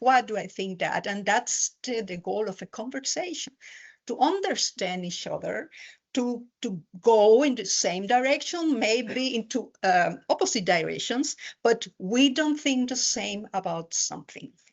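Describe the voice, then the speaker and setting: A woman in a Spanish accent, fairly high in pitch, lively in intonation and fairly slow in pace. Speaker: university lecturer. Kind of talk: conference talk. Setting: lecture hall with audience, hybrid event. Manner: halting.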